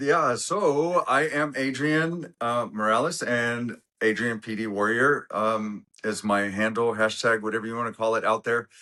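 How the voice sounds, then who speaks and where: Over a quiet background, a man with a medium pitch and a bright, sharp tone speaks at a fairly slow pace with hardly any pauses and ordinary pitch variation. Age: 50s. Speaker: Parkinson's advocate. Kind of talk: casual chat. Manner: halting, many fillers.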